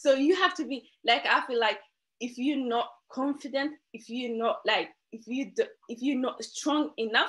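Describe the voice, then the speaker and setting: A woman's high-pitched voice with a non-native accent, animated tone, lively intonation and a moderate pace. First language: not English. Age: 20s. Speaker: interview guest. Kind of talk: motivational talk. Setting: video call.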